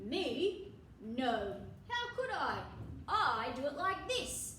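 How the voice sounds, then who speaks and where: A high, put-on character voice at a very slow pace, with very wide pitch swings and slight echo. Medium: read story. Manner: matter-of-fact.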